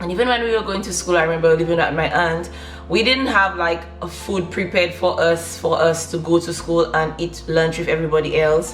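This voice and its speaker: The speaker talks at a fairly quick pace in a Saint Lucian accent. Music plays in the background, and the room echo is audible. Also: woman, fairly low pitch for a woman, ordinary pitch variation. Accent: Saint Lucian Caribbean English. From Saint Lucia, south of the island. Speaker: lifestyle vlogger. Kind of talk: personal story. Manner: casual, many fillers.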